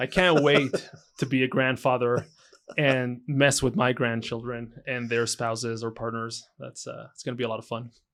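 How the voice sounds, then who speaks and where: A man of medium pitch with a slight Israeli accent, fairly even intonation, and a moderate pace. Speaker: entrepreneur. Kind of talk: interview answer.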